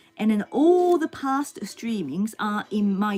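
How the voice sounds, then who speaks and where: Over music in the background, a woman with a medium-pitched voice talks at a fairly slow pace. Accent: Japanese. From Japan, Yamaguchi Prefecture. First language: Japanese. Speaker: singer and live streamer. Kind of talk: live stream chat. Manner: halting, many fillers.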